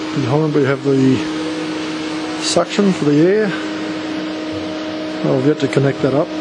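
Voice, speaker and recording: A man talks at a moderate pace, pausing often and at length, while loud noise fills the background. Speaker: hobbyist maker. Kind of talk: casual show-and-tell to camera. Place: workshop. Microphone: phone near.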